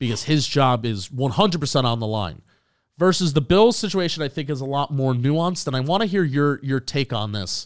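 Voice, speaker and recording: A man's fairly high-pitched, normal speaking voice, fairly quick and lively in intonation, on a very clean recording with a silent background. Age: 20s. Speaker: football podcast host. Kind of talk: casual chat.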